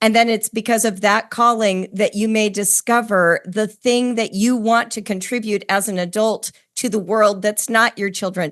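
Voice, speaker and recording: A woman speaks at a moderate pace with hardly any pauses, at a fairly high pitch. Her intonation is monotone and flat, over a quiet background. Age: 60s. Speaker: podcast host. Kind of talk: interview conversation.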